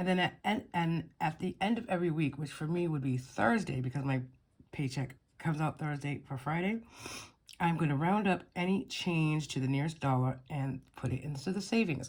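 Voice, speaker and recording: A woman's somewhat breathy voice at a very deep, low pitch, with lively intonation. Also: moderate pace. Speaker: budgeting vlogger. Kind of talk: casual tutorial. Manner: halting, many fillers.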